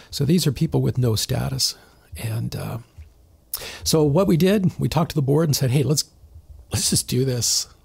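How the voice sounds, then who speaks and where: A man with a Canadian accent, medium pitch and vocal fry, at a moderate pace with lively intonation and long, frequent pauses. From southern Ontario, Canada. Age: 60s. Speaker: church member sharing his story. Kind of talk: podcast interview, personal testimony. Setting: studio, sitting across from the host.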